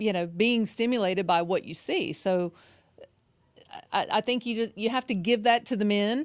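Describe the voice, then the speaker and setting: A woman speaks at a fairly high pitch with fairly even intonation. The recording is very clean, with a silent background. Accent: Southern US. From Mississippi Gulf Coast, US South. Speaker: relationship coach. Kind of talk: casual chat.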